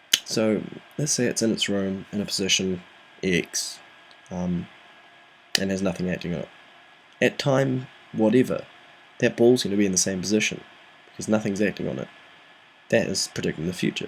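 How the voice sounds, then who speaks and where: Soft-spoken and at a fairly quick pace, the speaker leaves long, frequent pauses. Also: man, fairly low pitch for a man, ordinary pitch variation. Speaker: physics tutor. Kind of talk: tutorial. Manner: soft-spoken, talking quietly; hesitant, frequent ums.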